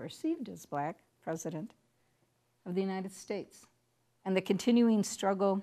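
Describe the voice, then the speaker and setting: Against a very clean recording with a silent background, a woman with a Chicago accent speaks at a medium pitch with lively intonation. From Chicago, US Midwest. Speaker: university diversity director. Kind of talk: lecture.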